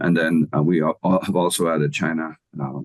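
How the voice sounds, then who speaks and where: A man's very deep, low voice in an Irish accent, flat and monotone, with a dry, close sound and no echo. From Ireland. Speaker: agricultural economics professor. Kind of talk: interview.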